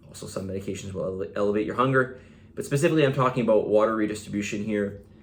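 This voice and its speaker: A man with a fairly low voice talks very fast, his loudness swinging widely and his pitch varying in an ordinary way. Room echo is audible. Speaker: fitness coach. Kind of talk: video monologue. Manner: casual, with fillers.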